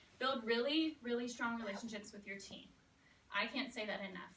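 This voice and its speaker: There is audible room echo as a woman talks at a fairly quick pace with ordinary pitch variation. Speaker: elementary school teacher. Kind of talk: talk to student teachers. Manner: fast.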